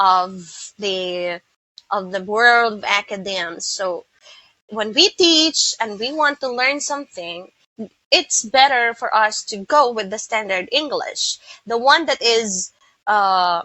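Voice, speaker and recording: A woman with an American accent, fairly high in pitch, at a very slow pace with lively intonation. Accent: American-leaning. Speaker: English teacher. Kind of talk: tutorial. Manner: halting.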